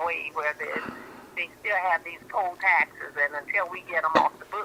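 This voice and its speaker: Against noticeable background noise, a woman with an American accent speaks with ordinary pitch variation. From Miami, Florida. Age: 60s. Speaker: caller. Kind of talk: phone-in talk show.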